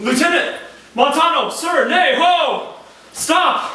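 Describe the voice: In a put-on character voice, a man speaks slowly at an extremely high pitch, with a bright, sharp tone, lively intonation and strong room echo.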